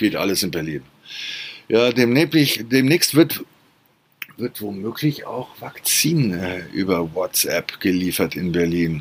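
A man is talking here. His pitch swings very widely. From Germany. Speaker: podcast host. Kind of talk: casual monologue. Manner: animated.

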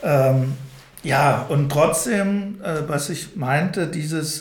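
A man's fairly high voice comes through audible room echo and noticeable background noise. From Odenwald, Hesse, then Berlin-Spandau from age six. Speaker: anti-violence trainer and social worker. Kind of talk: interview conversation. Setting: institute office, fourth floor. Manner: hesitant, many fillers.

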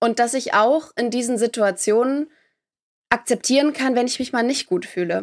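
A woman speaks at a fairly high pitch and a fairly quick pace, with ordinary pitch variation. The recording is very clean, with a silent background. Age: 20s. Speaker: podcaster and beauty pageant runner-up. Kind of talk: interview. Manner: hesitant fillers.

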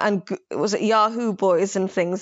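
A woman speaks with a London accent. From London, England (born Somaliland). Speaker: novelist. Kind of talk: casual literary discussion.

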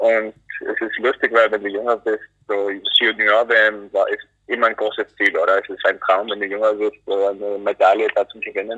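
The pace is moderate. A man speaks with an English accent. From US, North Carolina. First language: English (speaking German). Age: 20s. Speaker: alpine ski racer. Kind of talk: interview. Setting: phone call from airport. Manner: halting. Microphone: poor phone audio quality.

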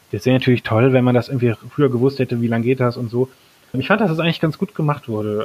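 A man's voice of medium pitch with ordinary pitch variation. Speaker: teacher. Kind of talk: interview. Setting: remote call.

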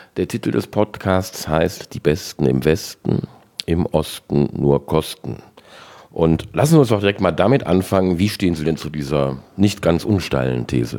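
Very deep and low, this man's voice has a dark, mellow tone and vocal fry. He talks at a moderate pace with lively intonation. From western Germany. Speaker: podcast host. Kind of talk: interview.

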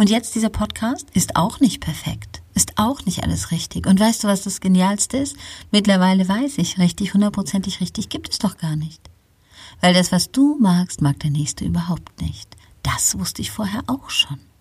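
On a very clean recording with a silent background, a woman at medium pitch uses lively intonation and vocal fry at a moderate pace. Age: 50s. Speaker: podcast host, pastoral counselor. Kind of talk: solo podcast monologue, motivational. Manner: unscripted, freely spoken.

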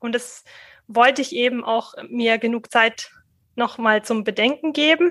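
This woman speaks at a high pitch with ordinary variation in it. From Middle Franconia, Germany (rural). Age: 30s. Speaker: local party chair. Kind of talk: interview. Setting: video call. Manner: halting.

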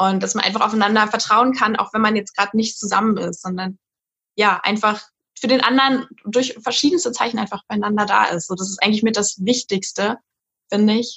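A woman's fairly high voice moves along at a fairly quick pace. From Berlin, Germany. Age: 20s. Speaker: university student. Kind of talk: casual interview chat. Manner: animated, bubbly.

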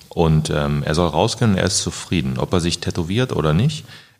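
There is noticeable background noise behind a man speaking. His intonation is lively and his pace fairly quick. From Germany, Braunschweig. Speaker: graffiti artist. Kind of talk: casual chat.

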